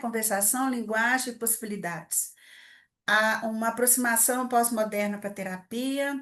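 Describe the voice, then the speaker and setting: A woman with an unremarkable speaking voice talks at a fairly slow pace with fairly high pitch and fairly even intonation against a quiet background. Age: 60s. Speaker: psychologist, family therapist. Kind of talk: lecture. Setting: event with live audience. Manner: informal, conversational.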